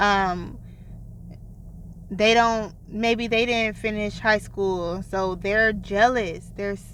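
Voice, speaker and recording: Very slow, monotone, flat speech from a woman, with long, frequent pauses and audible room echo. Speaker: self-help video creator. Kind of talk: vlog monologue.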